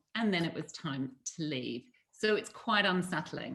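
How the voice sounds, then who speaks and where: A woman is speaking at a fairly slow pace. Her pitch is fairly low. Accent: Australian. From Australia, moved often as a child. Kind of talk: personal life story.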